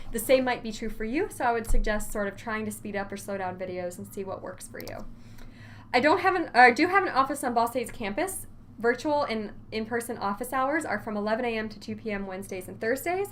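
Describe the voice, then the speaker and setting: A woman speaks very fast at a fairly high pitch, with vocal fry and lively intonation. Her loudness swings widely, and audible room echo surrounds her. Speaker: college instructor. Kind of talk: lecture. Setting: recorded online course video.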